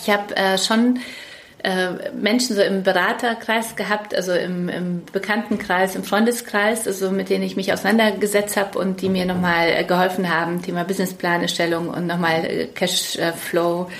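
At a moderate pace, a woman with a medium pitch and fairly even intonation speaks in a space with audible room echo and noticeable background noise. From Poland, raised in Munich. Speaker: publishing executive. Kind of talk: interview. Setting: in-person at her office.

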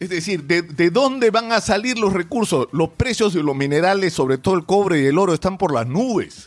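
Talking at a moderate pace with hardly any pauses, a high-pitched man with a Peruvian accent uses lively intonation. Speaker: political commentator. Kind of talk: opinion commentary. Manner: emphatic.

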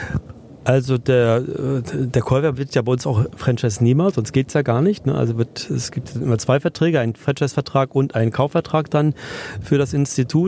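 At a moderate pace, a man's medium-pitched voice holds very even loudness and ordinary pitch variation, with a dry, close sound with no echo and noticeable background noise. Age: 60s. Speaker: entrepreneur, education institute founder. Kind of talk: interview. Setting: podcast bus at a trade fair.

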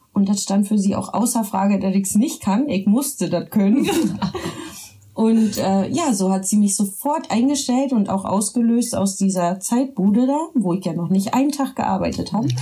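Over noticeable background noise, a woman speaks with lively intonation and very even loudness. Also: medium pitch for a woman, moderate pace. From Berlin, Germany. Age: 30s. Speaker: social worker. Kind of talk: casual chat. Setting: home studio.

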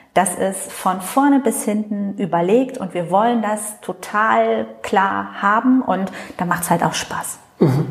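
A woman with a medium pitch and lively intonation speaks at a very slow pace over noticeable background noise. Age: 40s. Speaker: member of parliament. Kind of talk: interview. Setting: constituency office meeting room.

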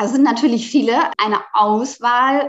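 A woman's normal speaking voice, fairly high in pitch, at a fairly slow pace. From Germany, Palatinate. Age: 30s. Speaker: author and sustainable fashion professional. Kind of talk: podcast interview.

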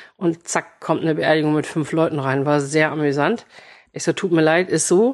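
A woman talks at a moderate pace in a very deep, low voice, with a quiet background behind her. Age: 40s. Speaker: café owner. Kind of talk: casual chat. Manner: animated.

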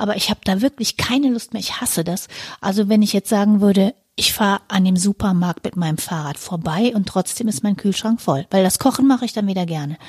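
The sound is dry and close, with no echo. A woman speaks with ordinary pitch variation and a somewhat breathy quality. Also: medium pitch for a woman, fairly quick pace. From rural Germany. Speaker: podcast co-host. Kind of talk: casual chat.

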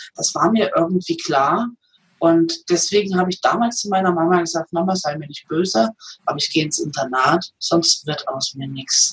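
At a moderate pace, this is a normal speaking voice with ordinary pitch variation. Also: woman, fairly low pitch for a woman. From eastern Germany. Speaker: comedian and massage therapist. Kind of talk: interview.

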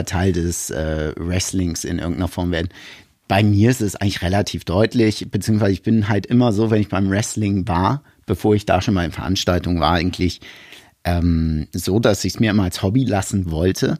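At a middling tempo, the tone is dark and mellow, and the pitch varies in a typical way. Nothing can be heard behind it on the exceptionally clean track. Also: man. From Germany, Hamburg. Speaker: wrestling commentator and TV producer. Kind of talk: casual chat.

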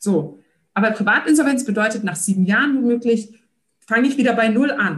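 A moderate pace, lively intonation, and an energetic tone. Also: woman. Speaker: social entrepreneur. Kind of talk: interview.

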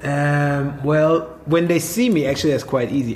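This man has a German accent. His voice sits at medium pitch. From Swabia, southern Germany. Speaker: hotel manager. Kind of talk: casual conversation. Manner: halting.

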